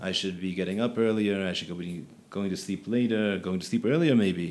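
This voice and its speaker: A man with an American accent, fairly low pitch, fairly even intonation and a fairly quick pace. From Philadelphia, US. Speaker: rabbi and yeshiva teacher. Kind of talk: podcast conversation.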